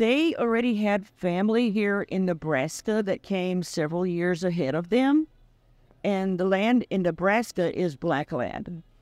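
Lively intonation marks this woman's fairly low-pitched voice. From Central Texas (West). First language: Czech. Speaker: local resident and home baker. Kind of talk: interview. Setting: coffee shop.

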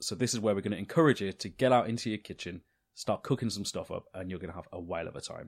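Heard with an English accent in a very clean recording with a silent background, the voice races at a very fast pace with ordinary pitch variation and big swings in loudness. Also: man, fairly low pitch for a man. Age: 30s. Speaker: cooking podcast co-host and cookbook author. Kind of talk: casual chat.

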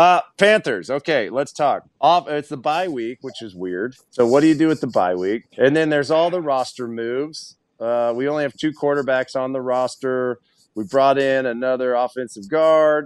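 A man's normal speaking voice, medium in pitch, with an American accent, ordinary pitch variation, and a dry, close sound with no echo over a quiet background. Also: moderate pace. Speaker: former football player, radio host. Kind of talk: casual chat.

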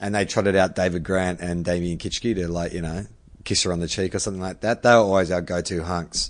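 A man with a very deep, low pitch speaks at a very fast pace in a flat monotone. The background is quiet. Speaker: podcast host. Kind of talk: casual chat. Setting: video call.

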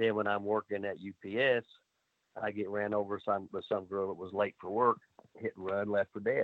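A man at a fairly low pitch and a moderate pace. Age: 60s. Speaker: wrestling trainer. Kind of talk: casual interview. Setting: video call. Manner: animated.

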